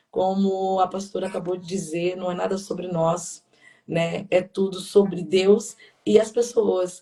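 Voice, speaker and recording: A woman's flat, monotone voice at medium pitch, fairly slow, with big swings in loudness. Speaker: pastor. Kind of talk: sermon-like live talk. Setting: livestream. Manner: talkative.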